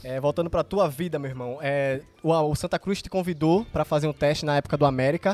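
In a dry, close recording with no echo, a man uses a normal speaking voice, fairly high-pitched, at a fairly quick pace. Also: ordinary pitch variation. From Pernambuco, Brazil. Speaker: podcast host. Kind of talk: casual chat. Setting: outdoors in a garden.

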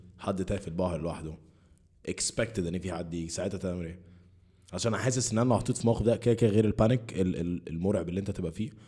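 Talking at a very fast pace, a man uses a dark, mellow tone at a fairly low pitch with ordinary pitch variation. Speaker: podcast host. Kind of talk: casual chat.

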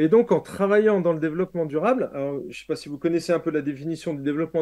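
A man speaks in a high pitch with a dark, mellow tone. His pitch varies in an ordinary way, and the background is quiet. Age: 50s. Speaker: pastor and author. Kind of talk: interview.

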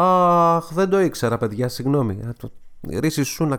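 Speaking, a man lets his pitch swing very widely. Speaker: podcast host and music presenter. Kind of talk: casual solo commentary podcast.

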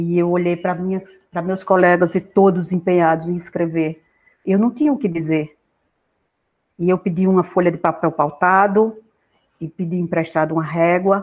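A woman with a fairly low pitch and fairly even intonation speaks at a moderate pace, leaving long, frequent pauses. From Pernambuco interior, Brazil (Agreste, near Caruaru). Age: 60s. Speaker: university professor. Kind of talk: interview, life story.

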